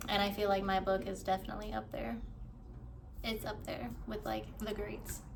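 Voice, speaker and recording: A woman with an American accent speaks at a moderate pace. Noticeable background noise and audible room echo surround her voice. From US South. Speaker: author vlogger. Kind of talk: casual vlog talk. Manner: casual, stumbling over words.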